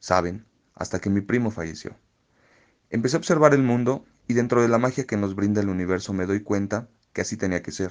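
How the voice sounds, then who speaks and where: Long, frequent pauses break up a man's speech. His pitch is fairly low, with ordinary pitch variation. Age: 20s. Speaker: podcast contributor. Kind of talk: personal testimony.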